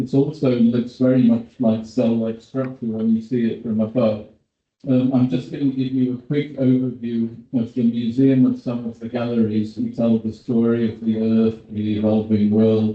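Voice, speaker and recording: The man's voice rests at a medium pitch. Its intonation stays monotone and flat. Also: moderate pace. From Britain. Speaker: paleontologist. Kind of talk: conference presentation.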